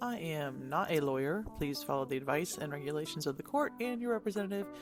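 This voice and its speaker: Speech moves at a fairly quick pace. Music plays in the background. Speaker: tech and marketing content creator. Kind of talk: informal tips narration.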